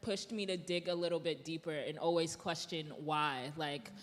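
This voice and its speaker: A woman talks with a New York accent at a fairly low pitch. Her intonation is fairly even. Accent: New York American. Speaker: influencer and DJ. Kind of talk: panel discussion. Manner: casual, filler-heavy.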